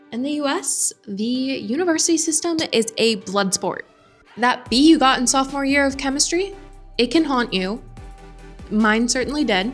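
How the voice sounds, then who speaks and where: Music plays behind a woman with a high pitch and an American accent. She speaks at a moderate pace with lively intonation. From United States. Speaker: expat vlogger. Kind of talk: casual talk to camera.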